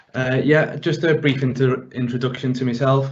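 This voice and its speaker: Monotone, flat intonation at a moderate pace, in a Liverpool accent. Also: man. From Liverpool, England. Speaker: pensions professional. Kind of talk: webinar presentation. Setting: working from home, online webinar.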